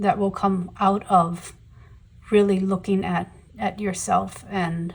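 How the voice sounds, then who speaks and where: The woman's voice is somewhat breathy. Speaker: tarot reader. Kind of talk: tarot reading to camera. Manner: halting, many fillers.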